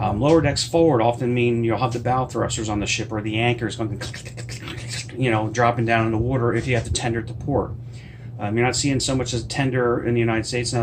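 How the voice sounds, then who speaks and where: With an American accent, a man speaks at a medium pitch and fairly quick pace in a monotone, flat intonation, amid audible room echo and noticeable background noise. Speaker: cruise travel vlogger and author. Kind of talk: casual tutorial vlog. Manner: fast; hesitant, many fillers.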